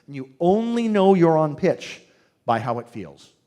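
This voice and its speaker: With very wide pitch swings, a man's voice rises and falls sharply. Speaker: singing teacher. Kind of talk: seminar talk. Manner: animated, enthusiastic; halting, repetitive.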